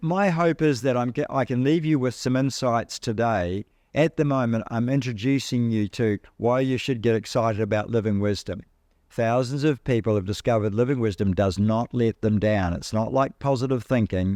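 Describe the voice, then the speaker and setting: With a New Zealand accent, a man speaks at medium pitch and a moderate pace, with ordinary pitch variation and very even loudness. The sound is dry and close with no echo, over a quiet background. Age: 70s. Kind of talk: talk to an audience. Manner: animated.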